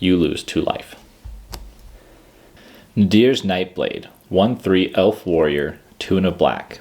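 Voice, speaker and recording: A man with a very deep, low pitch and calm tone, very slow, with long, frequent pauses. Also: ordinary pitch variation. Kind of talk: calm card-reading ASMR. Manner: calm, steady.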